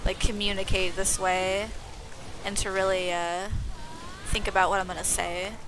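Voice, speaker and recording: Amid audible room echo, a woman talks fairly quickly at a medium pitch in a monotone, flat intonation. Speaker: video game streamer. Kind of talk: casual chat. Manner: fast.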